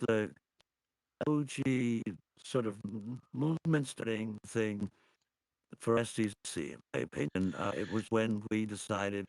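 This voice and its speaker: The sound is dry and close, with no echo. A man speaks at medium pitch with ordinary pitch variation. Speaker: online community insider. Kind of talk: casual chat. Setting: live stream video call. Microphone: old computer, poor sound; voice changer, crackly, hard to hear.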